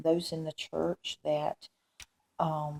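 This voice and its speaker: Very slowly, a woman speaks in a dark, mellow, somewhat breathy tone, the sound dry and close with no echo. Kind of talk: religious testimony, recounting a dream. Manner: hesitant, many fillers.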